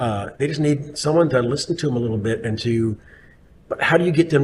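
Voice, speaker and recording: A man with a somewhat breathy, fairly high voice speaks at a fairly quick pace with lively intonation. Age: 60s. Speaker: city official. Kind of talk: casual chat. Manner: halting.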